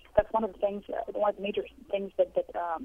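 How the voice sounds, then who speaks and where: Speech with an Arabic accent rushes by at a very fast pace. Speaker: journalism professor. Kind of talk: interview. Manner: halting.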